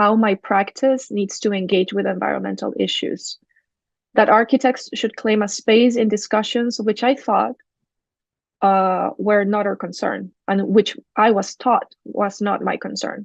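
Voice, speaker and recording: A woman at a fairly slow pace with a Spanish accent, dry and close with no echo. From Chile. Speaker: architect and urban design researcher. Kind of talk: academic lecture.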